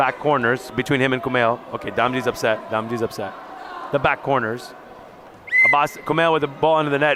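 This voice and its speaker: Noticeable background noise sits under a man with a New York accent. He speaks at a very fast pace and a medium pitch. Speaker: volleyball color commentator. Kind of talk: live sports commentary. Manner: animated.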